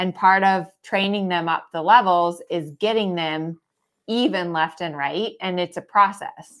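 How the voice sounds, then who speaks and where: On a very clean recording with a silent background, a woman of medium pitch speaks at a fairly slow pace in a normal speaking voice. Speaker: dressage trainer and podcast host. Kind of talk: live Q&A chat. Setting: Facebook live stream.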